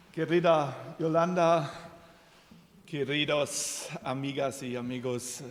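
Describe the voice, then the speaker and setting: A man with a German accent talks at a very slow pace, his pitch fairly high with ordinary variation. Noticeable background noise runs under his voice. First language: German (speaking Spanish). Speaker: president of a support association. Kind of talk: formal ceremonial speech. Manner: halting.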